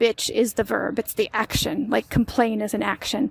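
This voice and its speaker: In a dry, close sound with no echo, a woman with an unremarkable speaking voice and an American accent speaks at a moderate pace with a fairly high pitch. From United States. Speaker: language podcaster. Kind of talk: language lesson. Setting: outdoors. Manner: casual.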